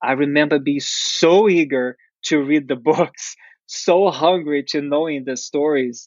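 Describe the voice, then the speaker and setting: A man with a Portuguese accent speaks fairly slowly in a fairly high voice with ordinary pitch variation. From Brazil. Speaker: dancer and actor. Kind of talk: interview. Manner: halting, many fillers.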